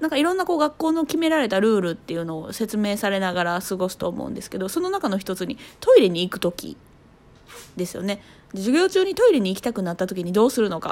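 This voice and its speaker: A woman's medium-pitched voice at a very fast pace, with very wide pitch swings. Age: 30s. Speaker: podcaster, mother. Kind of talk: casual solo talk. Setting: at home holding a baby on the sofa.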